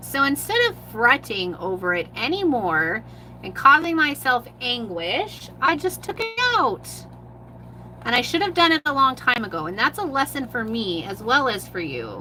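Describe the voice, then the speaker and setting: Noticeable background noise runs under the clip. A woman speaks at a moderate pace. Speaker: mixed media artist. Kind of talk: live art tutorial. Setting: livestream.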